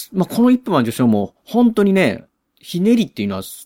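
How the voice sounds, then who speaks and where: Speaking at a fairly quick pace, a man with a high pitch and a dark, mellow tone makes very wide pitch swings, in a dry, close sound with no echo. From Osaka, Japan. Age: 40s. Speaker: podcast host. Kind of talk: solo movie review talk. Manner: casual, filler-heavy.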